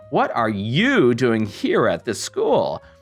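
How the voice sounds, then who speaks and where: A man's put-on character voice at a very slow pace, with faint music in the background. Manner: snarky.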